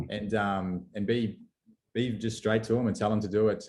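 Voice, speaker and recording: A man's fairly low voice in an Australian accent, with monotone, flat intonation. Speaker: company representative presenting webinar. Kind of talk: webinar presentation. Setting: video call. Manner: fast; halting, many fillers and repeats.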